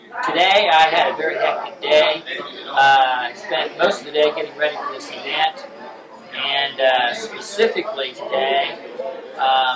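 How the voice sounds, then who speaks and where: The speaker has an American accent and talks at a fairly slow pace with lively intonation and big swings in loudness. Crowd noise fills the background, and the room echo is audible. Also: man, fairly high pitch for a man. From Indianapolis, US Midwest. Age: 40s. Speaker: hospital administrator. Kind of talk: home video interview. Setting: birthday party. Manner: halting.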